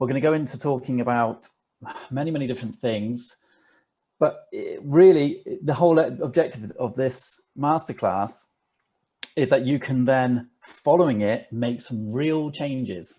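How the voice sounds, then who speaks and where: With a British accent, a man talks at a moderate pace in a fairly high voice, his tone dark and mellow and his intonation lively. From England. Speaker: digital marketer. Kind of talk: webinar presentation.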